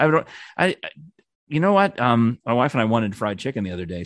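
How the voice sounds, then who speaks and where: In an American accent, a man with a plain, everyday voice talks at a fairly quick pace in a fairly low pitch with lively intonation, the sound dry and close with no echo against a quiet background. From New York. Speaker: former radio producer. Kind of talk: casual chat.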